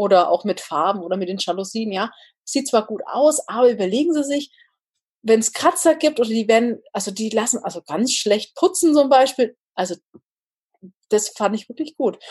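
At a moderate pace, a woman talks with lively intonation in a somewhat breathy voice at a fairly high pitch. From northern Bavaria. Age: 30s. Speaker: engineer and home builder. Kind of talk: casual interview.

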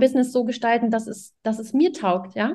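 A woman talks at a moderate pace with a fairly high pitch and ordinary pitch variation. Her tone is dark and mellow. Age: 30s. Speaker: parenting coach. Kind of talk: podcast interview.

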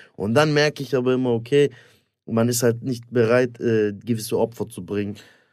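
Moderately paced and fairly even in intonation, this is a plain, everyday voice. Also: man, medium pitch for a man. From Stuttgart, Germany. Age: 30s. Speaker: stand-up comedian and actor. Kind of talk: casual banter, comedy podcast.

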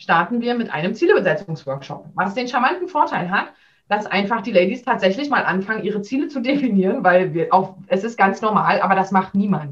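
Her intonation is lively as this woman talks at a moderate pace. A somewhat breathy quality runs through her voice. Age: 30s. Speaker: business coach for working mothers. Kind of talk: interview.

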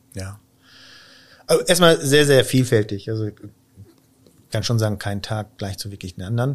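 A man speaks at medium pitch, his loudness swinging widely. The recording is very clean with a silent background, and his pauses are long and frequent. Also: ordinary pitch variation, moderate pace. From Israel. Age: 40s. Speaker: company IT executive. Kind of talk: podcast interview.

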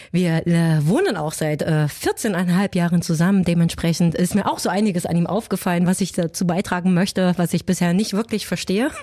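A woman's fairly low voice at a moderate pace, with hardly any pauses, very even loudness and fairly even intonation, over noticeable background noise. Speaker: podcast co-host. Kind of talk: casual chat.

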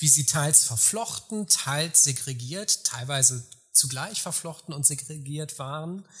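An ordinary speaking voice moves at a fairly slow pace with lively intonation. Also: man. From far west of Germany. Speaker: historian. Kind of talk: interview. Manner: formal.

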